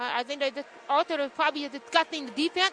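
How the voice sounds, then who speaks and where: The speaker uses a raised, projected voice at a fairly quick pace. Noticeable background noise can be heard. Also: woman. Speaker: basketball color commentator. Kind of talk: radio sports color commentary. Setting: radio broadcast booth at a gym. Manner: hesitant, filler-heavy.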